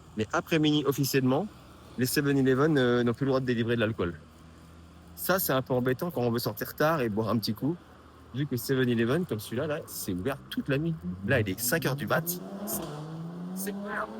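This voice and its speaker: Speaking at a fairly quick pace, a man uses lively intonation at a medium pitch and sounds somewhat breathy. He takes long, frequent pauses. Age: 50s. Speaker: vlogger and app developer. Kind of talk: casual vlog. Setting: outdoors on street at night. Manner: casual, hesitant.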